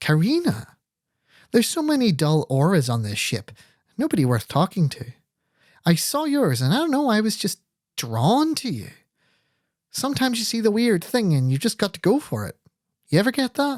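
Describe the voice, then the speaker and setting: In a husky, put-on character voice, a man speaks at a high pitch with very wide pitch swings and a moderate pace broken by long, frequent pauses. The sound is dry and close with no echo, on a very clean recording with a silent background. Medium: read story. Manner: flirtatious, giggly.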